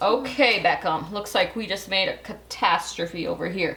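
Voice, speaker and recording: A woman speaks with ordinary pitch variation, audible room echo and noticeable background noise. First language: Belizean Creole. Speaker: cooking show host. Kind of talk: cooking tutorial. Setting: home kitchen. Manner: casual, chatty.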